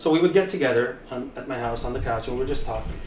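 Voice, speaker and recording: With audible room echo and noticeable background noise, a man talks at a very fast pace with ordinary pitch variation. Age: 50s. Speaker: rock singer and hockey podcaster. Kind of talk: casual interview chat. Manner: animated.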